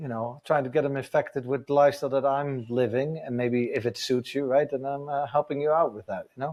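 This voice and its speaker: A man speaks at a fairly quick pace with hardly any pauses, in a Dutch accent. His pitch is fairly high, and his intonation is fairly even. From Netherlands. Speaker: adventure motorcycle tour business owner. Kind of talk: casual podcast interview.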